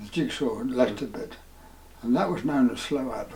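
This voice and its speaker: A man's medium-pitched voice with very wide pitch swings, over noticeable background noise. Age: 80s+. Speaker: retired town planning officer. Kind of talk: interview answer. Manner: hesitant, slow.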